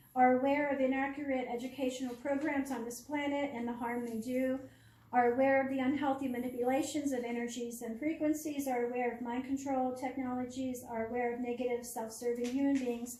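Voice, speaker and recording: A high-pitched woman talks fairly quickly in a flat monotone with hardly any pauses. Room echo is audible. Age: 60s. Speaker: public speaker on starseeds. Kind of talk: public presentation. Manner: halting.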